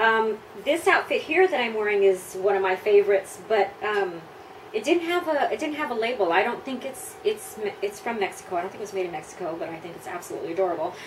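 Over noticeable background noise, a woman with an American accent and a fairly high pitch talks at a very fast pace with very wide pitch swings. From US Southwest / California (El Paso, Texas and Los Angeles). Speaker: pin-up model. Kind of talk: interview answers. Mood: relaxed, warm. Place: home room.

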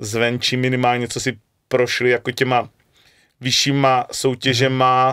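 Quiet surroundings and a man's fairly slow delivery. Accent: Moravian. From Moravia. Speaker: football coach. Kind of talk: interview. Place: studio. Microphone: studio mic.

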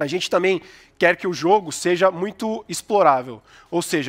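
In a quiet background, a man with a high voice talks at a fairly quick pace. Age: 30s. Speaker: game studio founder. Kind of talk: startup pitch. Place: stage. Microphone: headset.

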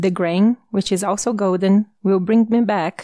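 With a Brazilian accent, a woman speaks at a medium pitch in a monotone, flat intonation, the sound dry and close with no echo, music playing in the background. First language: Portuguese. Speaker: audiobook narrator. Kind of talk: audiobook reading.

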